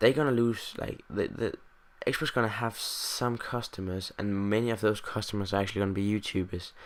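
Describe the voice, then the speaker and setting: On a very clean recording with a silent background, a man with a Danish accent speaks at a fairly low pitch with fairly even intonation. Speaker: gaming youtuber. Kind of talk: casual vlog monologue. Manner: halting, many fillers. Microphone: USB condenser mic, new today.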